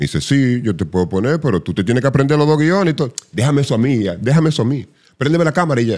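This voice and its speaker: The background stays quiet. Against it, a man races along very fast, his intonation lively. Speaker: voice artist and psychologist; podcast guest, radio personality. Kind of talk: casual chat. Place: studio. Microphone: studio mic.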